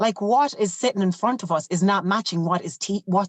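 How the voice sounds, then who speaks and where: Lively intonation from a woman at medium pitch, moderate pace, in a dry, close sound with no echo. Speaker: teacher and former trek leader. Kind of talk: podcast interview.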